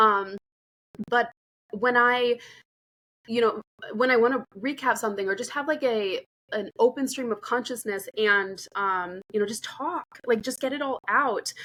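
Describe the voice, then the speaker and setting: A woman's bright, sharp voice at a fairly high pitch, with ordinary pitch variation, long and frequent pauses, and a dry, close sound with no echo. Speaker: podcast host and AI educator. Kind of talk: casual solo podcast talk. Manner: fast; filler-heavy, meandering.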